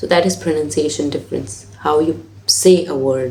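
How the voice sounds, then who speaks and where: A woman with a non-native accent speaks in a very deep, low pitch. Noticeable background noise is present. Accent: own non-native. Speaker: IELTS teacher. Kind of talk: tutorial.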